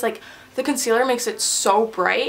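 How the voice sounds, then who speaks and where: A woman speaks at a fairly high pitch. Her voice carries audible room echo over noticeable background noise. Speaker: beauty vlogger. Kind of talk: casual makeup tutorial. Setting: bathroom. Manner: fast; chatty.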